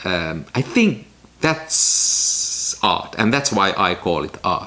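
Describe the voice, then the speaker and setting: Over noticeable background noise, a man with a non-native accent and medium pitch talks at a very slow pace with very wide pitch swings. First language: not English. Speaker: film photography YouTuber. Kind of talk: casual vlog talk to camera.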